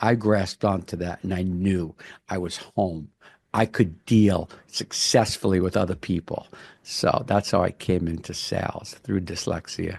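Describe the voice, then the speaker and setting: A man with an American accent speaks at a fairly slow pace in a very deep, low pitch. His intonation is fairly even against a quiet background. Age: 60s. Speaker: commercial real estate broker. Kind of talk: podcast interview.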